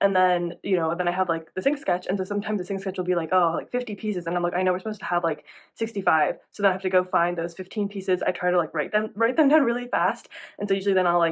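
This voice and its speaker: Against a quiet background, a woman at medium pitch talks very fast with ordinary pitch variation. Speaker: animation production assistant, vlogger. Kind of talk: casual vlog.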